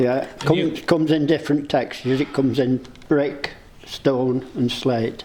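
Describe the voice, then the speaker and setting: Fairly even intonation from a man with a fairly high pitch, moderate in pace, amid noticeable background noise. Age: 80s+. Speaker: model maker. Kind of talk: interview answer.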